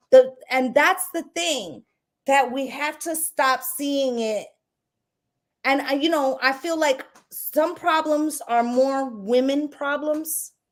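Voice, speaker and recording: In a New York accent, a woman speaks very slowly at a high pitch. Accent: New York City. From New York City, Puerto Rican heritage. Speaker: tarot reader and live-stream host. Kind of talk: casual discussion on live stream. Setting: live stream. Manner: speaks with conviction.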